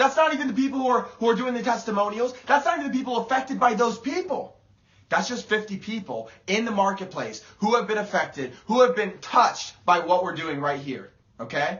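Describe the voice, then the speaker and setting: Loud and animated, a man talks at a fairly quick pace in an extremely high pitch with lively intonation. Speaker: motivational speaker. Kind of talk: motivational livestream talk. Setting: live video stream.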